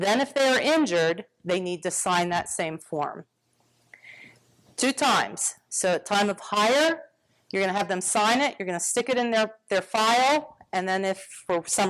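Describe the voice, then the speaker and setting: The recording is very clean, with a silent background. A woman talks at medium pitch with lively intonation. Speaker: workers' compensation presenter. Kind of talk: seminar presentation. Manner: fast.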